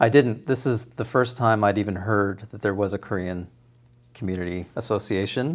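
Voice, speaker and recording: On a very clean recording with a silent background, a man with a Canadian accent has an unremarkable speaking voice, fairly low in pitch with ordinary pitch variation. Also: moderate pace. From Toronto area, Canada. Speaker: cooking show contestant and home cook. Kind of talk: interview.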